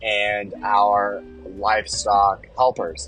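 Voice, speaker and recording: Mumbling at a very slow pace, a man talks in a fairly low pitch. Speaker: podcast host and farmer. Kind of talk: casual monologue. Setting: in a car.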